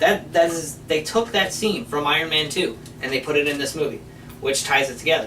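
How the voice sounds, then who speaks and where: A man speaks at a moderate pace with ordinary pitch variation. Noticeable background noise runs under his voice. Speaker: movie review show co-host. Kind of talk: casual chat. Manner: loud.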